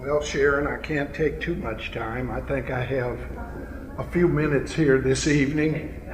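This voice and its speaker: There is noticeable background noise and audible room echo as a man with a fairly high pitch speaks. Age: 70s. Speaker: family elder. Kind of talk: speech. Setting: family reunion banquet.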